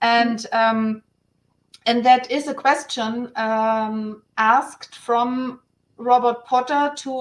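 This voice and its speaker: A woman with a German accent speaks in a high voice with fairly even intonation. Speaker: guest on online round table. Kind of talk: casual panel discussion. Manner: halting, many restarts.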